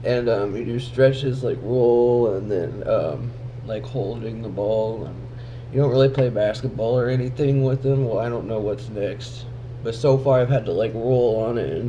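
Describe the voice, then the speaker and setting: Monotone, flat intonation marks a man speaking at a medium pitch and fairly slow pace. There is audible room echo and noticeable background noise. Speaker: vlogger recovering from head injury. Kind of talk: casual vlog. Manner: slurred speech; halting, with speech delay.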